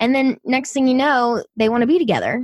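Recorded very cleanly against a silent background, a woman speaks with a Southern US accent in a dry, close sound with no echo. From US South. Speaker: podcaster. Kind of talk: casual chat.

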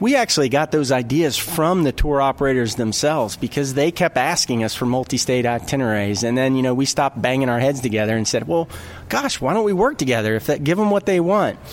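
Over noticeable background noise, a man speaks very fast with lively intonation and very even loudness. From North Carolina. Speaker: tourism official. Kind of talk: casual interview.

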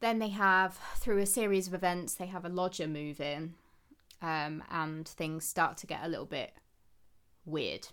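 At a fairly slow pace, a woman with a fairly low pitch speaks in an ordinary speaking voice, her intonation fairly even. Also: very clean recording, silent background. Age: 30s. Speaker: book podcast co-host. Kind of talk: casual chat.

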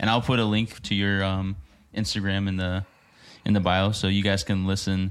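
This man has a fairly low pitch. His intonation is monotone and flat. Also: very clean recording, silent background. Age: 20s. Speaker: podcast co-host. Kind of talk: casual interview.

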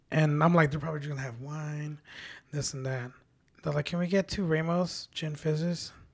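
A man's somewhat breathy, fairly high voice with fairly even intonation at a moderate pace. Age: 30s. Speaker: bartender. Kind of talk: casual chat.

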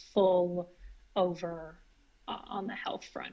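A woman with an American accent speaks at a very slow pace. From US Northeast, northern Maine. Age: 30s. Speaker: vegan guest, certified iridologist. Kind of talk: casual interview.

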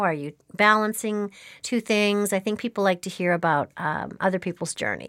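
On a very clean recording with a silent background, a plain, everyday voice moves at a moderate pace with ordinary pitch variation. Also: woman. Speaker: podcast host. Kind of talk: interview conversation. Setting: studio.

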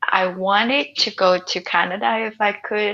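A woman with a Vietnamese accent. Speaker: writer and nomad. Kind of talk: interview conversation.

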